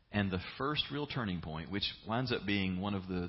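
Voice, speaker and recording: A man speaks at a fairly quick pace in a fairly low pitch with ordinary pitch variation, and room echo is audible. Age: 50s. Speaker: pastor. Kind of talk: sermon.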